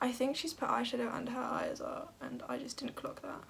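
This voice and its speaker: A woman with a British accent at a fairly quick pace, over noticeable background noise. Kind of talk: makeup tutorial chat. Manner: soft-spoken, usually speaks quietly.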